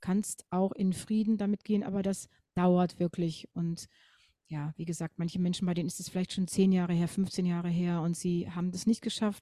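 This woman's voice is fairly low in pitch, with a dark, mellow tone and flat, monotone intonation. She speaks at a moderate pace on a very clean recording with a silent background. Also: dry, close sound with no echo. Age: 50s. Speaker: grief counsellor and singer. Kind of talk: interview.

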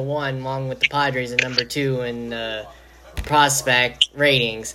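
Noticeable background noise runs under this recording. A man speaks at medium pitch with fairly even intonation. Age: young. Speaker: podcast host. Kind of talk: interview. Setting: video call.

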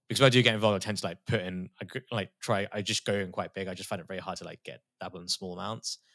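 A man with a British accent talks very fast with hardly any pauses and fairly even intonation. The recording is very clean, with a silent background. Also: fairly low pitch for a man, dry, close sound with no echo. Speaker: crypto artist and former trader. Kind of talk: casual interview chat.

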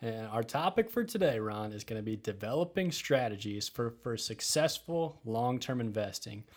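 Talking with a Midwestern US accent, a man uses a medium pitch, lively intonation and a moderate pace with hardly any pauses. The recording is very clean, with a silent background. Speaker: financial advisor and podcast host.

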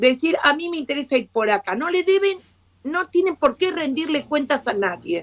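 Speaking at a moderate pace, a woman with a high voice swings her pitch very widely. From Argentina. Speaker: education professor. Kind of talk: live video interview.

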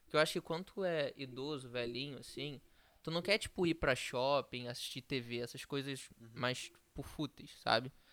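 A man's unremarkable speaking voice, fairly high in pitch, with fairly even intonation at a moderate pace on a very clean recording with a silent background. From Rio de Janeiro, Brazil. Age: young. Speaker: startup co-founder. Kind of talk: casual chat.

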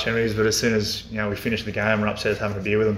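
With an Australian accent, a man talks at a very fast pace in a fairly low pitch and a monotone, flat intonation, with audible room echo and noticeable background noise. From rural Victoria, Australia. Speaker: football coach and former AFL player. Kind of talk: casual interview. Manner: hesitant, many fillers.

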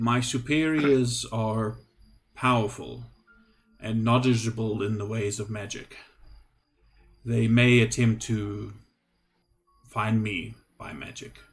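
A man puts on a character voice. He goes at a fairly slow pace with long, frequent pauses. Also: medium pitch for a man. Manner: anxious, pleading.

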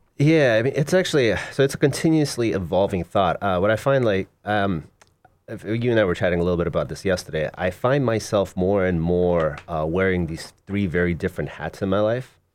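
A man with an ordinary speaking voice talks in an American accent at a fairly quick pace. His pitch is fairly low, and his intonation is lively. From Russia and South Florida. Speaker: poet and novelist. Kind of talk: casual interview.

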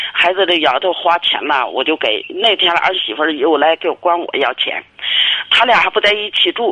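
The speech moves at a moderate pace. Noticeable background noise sits behind it. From Inner Mongolia, China. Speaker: caller. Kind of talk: call-in advice conversation. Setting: phone call. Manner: halting.

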